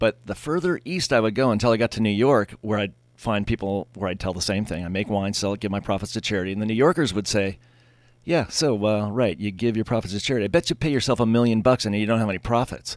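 In a very clean recording with a silent background, a man with a Californian accent talks at a very fast pace, his fairly low pitch showing ordinary variation. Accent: Californian American English. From Southern California, Pasadena area. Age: 50s. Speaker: winery owner. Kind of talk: interview. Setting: studio.

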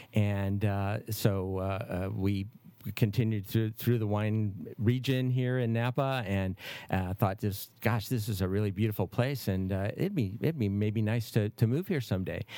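On a very clean recording with a silent background, a man with an American accent and a fairly low pitch speaks fairly slowly in a dark, mellow tone. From Michigan, Detroit. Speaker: winemaker. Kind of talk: interview. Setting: studio. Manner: halting, many fillers.

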